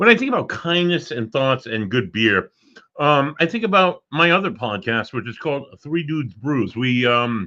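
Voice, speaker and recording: A man talks loudly at a moderate pace in a fairly high pitch. His tone is bright and sharp, and his pitch swings very widely. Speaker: podcast host and paranormal investigator. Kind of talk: casual chat.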